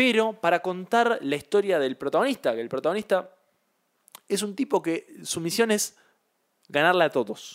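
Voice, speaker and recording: On a very clean recording with a silent background, a man speaks at a moderate pace in a high pitch, with very wide pitch swings and long, frequent pauses. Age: 20s. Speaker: podcast co-host. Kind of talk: casual chat.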